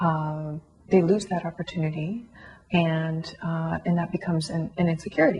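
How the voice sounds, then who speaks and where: With a Canadian accent, a woman speaks at a fairly slow pace in a fairly low pitch and monotone, flat intonation. Noticeable background noise sits behind her. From Canada, Toronto area. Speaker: concert violinist. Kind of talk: interview testimony. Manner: hesitant, many fillers.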